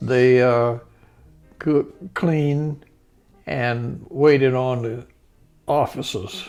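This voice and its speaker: Music plays in the background as a man with a medium pitch and ordinary pitch variation speaks at a very slow pace with long, frequent pauses. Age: 80s+. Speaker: Navy veteran. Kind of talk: interview answer.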